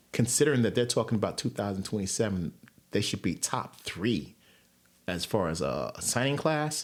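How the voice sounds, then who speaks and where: A man with an American accent, fairly low-pitched with vocal fry and very wide pitch swings. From New York. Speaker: sports podcaster. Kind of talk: casual monologue. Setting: home recording with headphones. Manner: fast.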